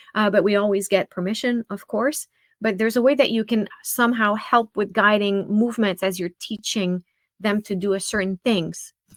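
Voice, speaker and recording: A woman talks at a moderate pace with fairly even intonation, recorded with a dry, close sound and no echo. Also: medium pitch for a woman. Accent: French. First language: French. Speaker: music teacher and practice expert. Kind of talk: webinar presentation.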